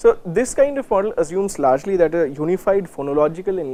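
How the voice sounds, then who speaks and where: A man with an Indian accent talks at a very fast pace, his dark, mellow tone carried by lively intonation. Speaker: university lecturer. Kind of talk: lecture. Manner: hesitant, many fillers.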